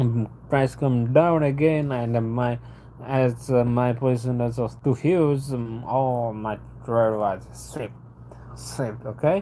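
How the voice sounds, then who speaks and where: With a non-native accent and a dark, mellow tone, the speaker talks at a very slow pace with fairly even intonation. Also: man, medium pitch for a man. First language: not English (English is fifth language). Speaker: retail trader. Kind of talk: livestream monologue. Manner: halting, with many repetitions.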